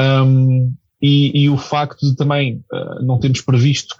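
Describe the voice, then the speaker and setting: A man talks at a medium pitch, somewhat breathy, with a dark, mellow tone. The sound is dry and close with no echo. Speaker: football commentator. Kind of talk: casual chat. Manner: hesitant.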